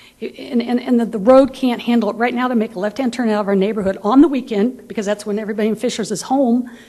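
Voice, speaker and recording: Talking very fast with hardly any pauses, a woman with an American accent uses a fairly high pitch and fairly even intonation over noticeable background noise. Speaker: resident speaking at public meeting. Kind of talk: public comment at council meeting. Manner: halting.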